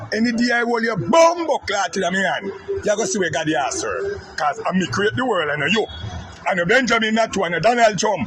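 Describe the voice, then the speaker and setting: Amid noticeable background noise, a man with a high pitch and a Jamaican accent talks at a fairly quick pace with very wide pitch swings. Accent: Jamaican Patois. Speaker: political commentator. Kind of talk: angry rant. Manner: loud.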